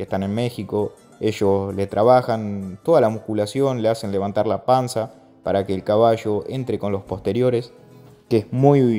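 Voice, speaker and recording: A man's fairly low voice at a fairly slow pace, fairly even in intonation, with music in the background. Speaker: horse trainer. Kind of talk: voice-over narration of own video. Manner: casual, hesitant.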